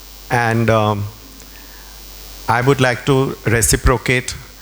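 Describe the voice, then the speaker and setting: A man's medium-pitched voice with fairly even intonation amid noticeable background noise. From India. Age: 70s. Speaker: interior designer and art collector. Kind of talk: public conversation.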